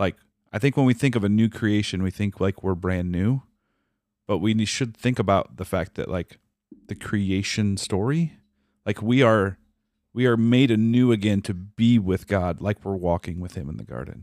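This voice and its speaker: A plain, everyday voice: a man with an American accent, fairly low pitch, ordinary pitch variation and a moderate pace, in a very clean recording with a silent background and a dry, close sound with no echo. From Minnesota. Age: 40s. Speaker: father and churchgoer. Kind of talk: casual chat, faith testimony.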